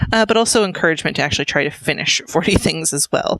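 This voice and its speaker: A woman talks at a fairly quick pace. The sound is dry and close with no echo, and background noise is noticeable. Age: 30s. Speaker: cross-stitch video creator. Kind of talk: casual monologue. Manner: fast; hesitant, many fillers.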